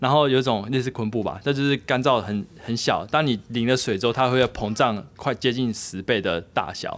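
A man with a medium-pitched voice talks at a moderate pace, with ordinary pitch variation and hardly any pauses. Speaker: podcast co-host, father. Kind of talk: casual chat. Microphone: too quiet, far from mic.

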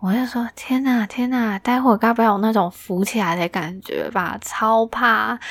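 A woman talks at a moderate pace in an ordinary speaking voice, with hardly any pauses. Her pitch is fairly high, with ordinary pitch variation. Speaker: podcast host. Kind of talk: casual solo chat, answering listener messages.

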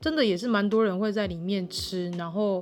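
A woman with an ordinary speaking voice talks at a medium pitch and a moderate pace, using ordinary pitch variation. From Taiwan, Tainan (Wanli). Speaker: podcast host. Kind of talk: casual monologue.

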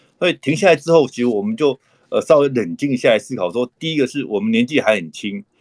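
A man's medium-pitched voice at a very fast pace, with lively intonation and a dry, close sound with no echo. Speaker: dentist, author and conservation group founder. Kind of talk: interview conversation. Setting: online call. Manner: frequent hesitation fillers.

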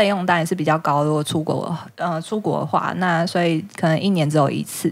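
Recorded very cleanly against a silent background, a woman with a normal speaking voice and fairly low pitch talks at a moderate pace. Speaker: returned language-school student from New York. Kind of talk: casual chat. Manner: laughs often.

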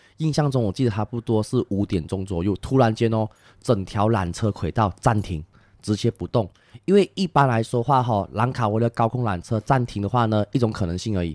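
Recorded very cleanly against a silent background, a man with a medium-pitched voice speaks fairly quickly with ordinary pitch variation, the sound dry and close with no echo. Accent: slight Malaysian. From Malaysia. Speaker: tour guide. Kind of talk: casual chat. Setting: recorded in Malaysia.

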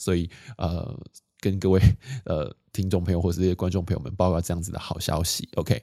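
A man with a very deep, low pitch and a dark, mellow tone, calm and relaxed, fairly even intonation, a fairly quick pace broken by long, frequent pauses, on a very clean recording with a silent background. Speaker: podcast host on minimalist living. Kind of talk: casual solo chat. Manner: calm, relaxed pace with fillers.

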